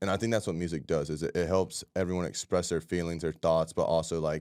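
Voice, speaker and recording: On a very clean recording with a silent background, a man with an American accent speaks in a very deep, low pitch. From Florida, Ocala. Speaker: touring musician. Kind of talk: interview.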